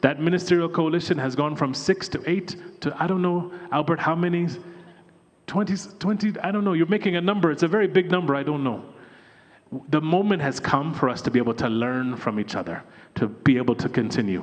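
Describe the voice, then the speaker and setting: A man talks at a fairly quick pace in an animated tone, high in pitch, with lively intonation. Noticeable background noise runs underneath. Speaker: education development expert, former teacher. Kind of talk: conference keynote speech. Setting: stage with audience at conference. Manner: animated, engaging the audience.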